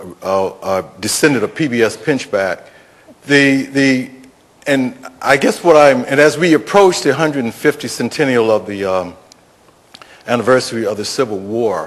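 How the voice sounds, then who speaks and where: Against noticeable background noise, a man at a medium pitch speaks at a moderate pace with lively intonation and long, frequent pauses. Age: 60s. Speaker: audience member asking questions. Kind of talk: audience question at panel. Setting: public panel event, audience microphone. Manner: halting, many fillers.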